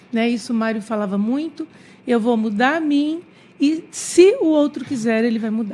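A woman's high-pitched voice with lively, bouncy intonation. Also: moderate pace. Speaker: infectologist. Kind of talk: radio interview. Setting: studio. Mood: calm, reflective. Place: studio. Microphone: studio mic.

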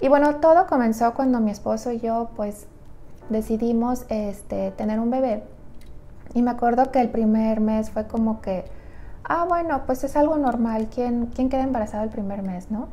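Moderately paced female speech in a dark, mellow tone, ordinary in its pitch variation. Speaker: nutritionist vlogger. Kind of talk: personal story vlog. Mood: calm, intimate storytelling. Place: home room. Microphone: lapel.

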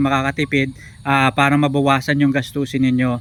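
At a moderate pace, a man speaks with a fairly high pitch. It is an unremarkable speaking voice. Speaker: vlogger. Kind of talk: tutorial. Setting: outdoors at a piggery. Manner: explanatory, filler-heavy.

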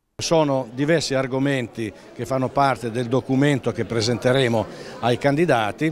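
Light background noise sits under this recording. A man speaks at a moderate pace with ordinary pitch variation. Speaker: business association director. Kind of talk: interview statement. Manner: formal. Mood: earnest, advocating. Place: hall. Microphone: handheld.

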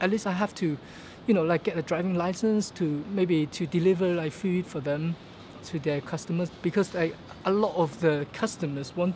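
Moderately paced male speech with light background noise. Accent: Hong Kong. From Hong Kong. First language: Cantonese. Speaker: vlogger. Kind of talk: casual vlog monologue. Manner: halting, with fillers and repetitions. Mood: upbeat, optimistic. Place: street. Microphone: phone near.

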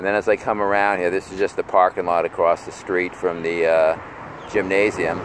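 A man talks in a plain, everyday voice at a fairly low pitch and fairly quick pace, with a dry sound, no echo and light background noise. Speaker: vlogger. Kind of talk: casual vlog chat. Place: street. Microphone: phone near.

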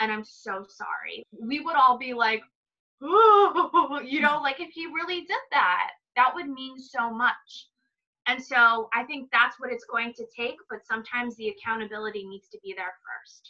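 A woman with an American accent speaks at a moderate pace in a high, bright, sharp voice with lively intonation and big swings in loudness, against a quiet background. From East Los Angeles, Pico Rivera; East Los Angeles. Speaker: psychic; interview guest. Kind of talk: casual interview chat. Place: home room. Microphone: video call.

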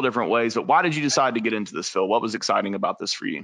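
Against a quiet background, a man talks at a very fast pace in a bright, sharp tone with ordinary pitch variation. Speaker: webinar moderator. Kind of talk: moderated panel webinar. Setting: video call. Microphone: video call.

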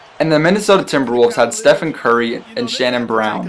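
The tone is animated. Noticeable background noise runs under the speech. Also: man. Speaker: gaming YouTuber. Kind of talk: live sports commentary. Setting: video game recording with voiceover. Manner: animated, hyped play-by-play with jokes and exaggerated exclamations; casual, jokey, fast and excitable.

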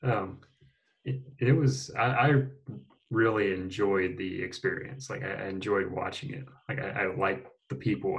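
Over a quiet background, a man speaks at a moderate pace with lively intonation and a somewhat breathy voice. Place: home room.

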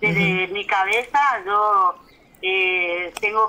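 Fairly slow speech with fairly even intonation. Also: woman. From Argentina, Chaco (Puerto Vilela). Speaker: community organizer of women canoe fishers. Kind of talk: interview. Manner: halting.

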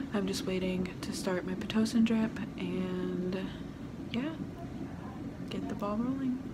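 Loud background noise fills the recording. Through it, a woman speaks at a fairly slow pace. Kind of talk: casual vlog chat. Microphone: phone near.

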